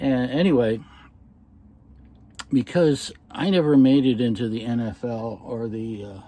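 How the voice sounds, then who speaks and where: With an American accent, a man talks at a fairly slow pace in a dark, mellow tone at medium pitch, with ordinary pitch variation, big swings in loudness, and long, frequent pauses. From Philadelphia, US Northeast. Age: 60s. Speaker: artist and vlogger. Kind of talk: casual vlog talk to camera. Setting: inside a motor home. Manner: halting, many fillers.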